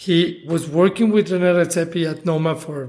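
A man speaks at a fairly slow pace with a high pitch. His pitch varies in an ordinary way. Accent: Spanish. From Mexico. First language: Spanish. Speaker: chef. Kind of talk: interview.

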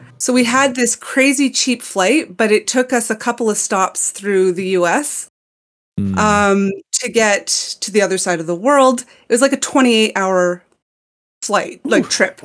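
A woman with a fairly high pitch and ordinary pitch variation talks at a very slow pace on a very clean recording with a silent background. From Montreal, Canada. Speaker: podcast guest. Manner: enunciates words clearly.

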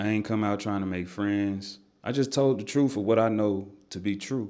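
The man's pitch sits fairly low and his intonation stays fairly even. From Nashville, Tennessee (east side). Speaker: music artist. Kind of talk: casual interview chat.

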